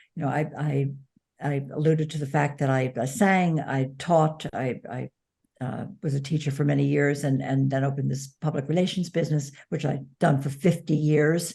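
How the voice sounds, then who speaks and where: A woman speaks at a moderate pace in a very deep, low voice, dark, mellow and somewhat breathy. Her intonation stays fairly even. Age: 70s. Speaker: author and former publicist, caregiver. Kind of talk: interview conversation.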